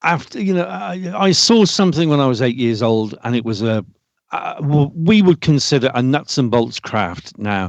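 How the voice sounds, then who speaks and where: A man is speaking. He has a British accent. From Britain. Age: 60s. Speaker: UFO experiencer. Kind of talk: podcast interview. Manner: halting.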